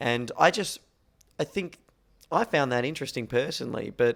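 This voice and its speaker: A man speaks with an Australian accent. His pitch is medium and his pace moderate. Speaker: podcast host. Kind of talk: casual podcast chat. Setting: apartment at festival.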